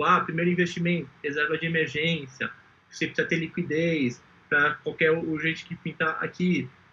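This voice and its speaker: A fairly high-pitched male voice, bright and sharp in tone, with monotone, flat intonation. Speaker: entrepreneur pitching an investment startup. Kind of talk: startup pitch presentation. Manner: fast; clear.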